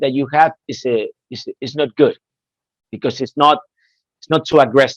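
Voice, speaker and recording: Recorded dry and close with no echo, a man talks at a fairly high pitch with a Spanish accent. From Spain, Madrid. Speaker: headset product specialist. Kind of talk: webinar presentation. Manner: animated.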